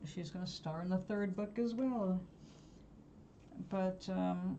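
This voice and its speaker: A woman speaks very slowly at a medium pitch, somewhat breathy, with a dark, mellow tone. Her pitch variation is ordinary. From New York. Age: 70s. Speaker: live-stream host, artist and spiritual guide. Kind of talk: casual live-stream chat. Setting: home live stream.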